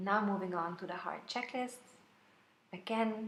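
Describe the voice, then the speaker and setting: A woman's voice with audible room echo. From Austria, Vienna. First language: German. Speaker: planner sticker shop owner. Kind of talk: plan-with-me video voiceover. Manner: hesitant, many fillers.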